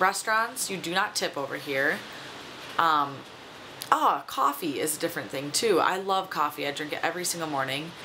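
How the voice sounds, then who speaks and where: A woman with an American accent speaks at a moderate pace, her pitch fairly low. Her intonation is lively, and there is noticeable background noise. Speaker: vlogger. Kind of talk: casual vlog monologue. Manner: chatty, many fillers.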